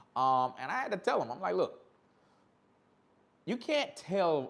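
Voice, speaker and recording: A man is speaking. His pitch swings very widely. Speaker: motorcycle YouTuber live streamer. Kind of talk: casual live stream chat. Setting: live stream. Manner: stuttering, repeating words while reading chat.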